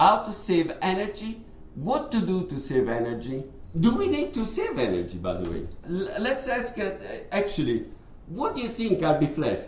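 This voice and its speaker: A man with an Italian accent speaks at a fairly slow pace in a high pitch with very wide pitch swings, with audible room echo and noticeable background noise. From Italy. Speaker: podcast host. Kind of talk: casual chat. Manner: hesitant, many fillers.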